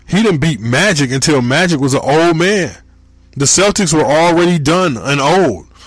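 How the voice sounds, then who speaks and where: A man's fairly high voice at a moderate pace, with ordinary pitch variation, very even loudness and audible room echo. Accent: American. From Michigan. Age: 30s. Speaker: podcast host. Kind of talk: casual solo podcast monologue.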